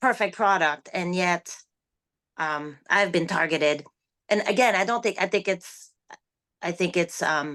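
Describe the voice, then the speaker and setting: A woman's bright, sharp voice with a non-native accent, medium in pitch with ordinary variation, at a fairly slow pace with long, frequent pauses, against a quiet background. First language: not English. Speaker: online seller. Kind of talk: interview. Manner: halting.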